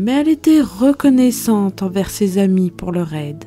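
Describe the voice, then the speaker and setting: A soft-spoken woman uses a soothing tone with very wide pitch swings while music plays in the background. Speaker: storyteller. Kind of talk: bedtime story. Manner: soft, soothing.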